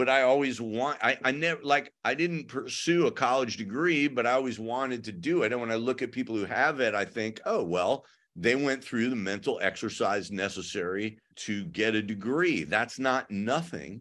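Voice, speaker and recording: Against a quiet background, a man with an American accent talks in an ordinary speaking voice at medium pitch. His intonation is lively, his pace moderate, with hardly any pauses. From US Midwest (suburban Illinois). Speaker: punk musician and author. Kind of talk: interview.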